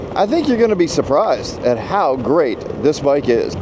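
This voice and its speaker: Over noticeable background noise, a man talks at a moderate pace with very wide pitch swings. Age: 60s. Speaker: motorcycle vlogger. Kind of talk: casual vlog monologue. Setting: outdoors on a motorcycle ride. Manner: hesitant, many fillers.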